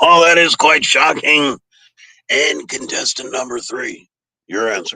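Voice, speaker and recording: A raspy man speaks at a fairly slow pace with a fairly high pitch. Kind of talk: game show host patter. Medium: game stream. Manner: brisk, teasing, upbeat.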